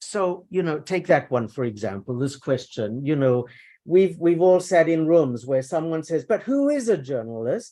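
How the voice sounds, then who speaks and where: On a very clean recording with a silent background, a man with a fairly high pitch and a dark, mellow tone talks fairly slowly with lively intonation. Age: 60s. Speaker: journalism professor and author. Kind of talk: conference talk. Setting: academic conference with audience. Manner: halting, many repetitions and fillers.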